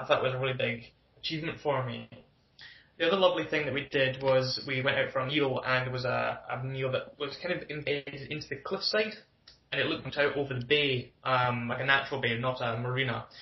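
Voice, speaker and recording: A man with a Glaswegian accent talks fairly quickly at a medium pitch, keeping his intonation fairly even. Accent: Glaswegian Scottish. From Scotland, Glasgow. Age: 20s. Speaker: podcast guest. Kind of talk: casual interview chat.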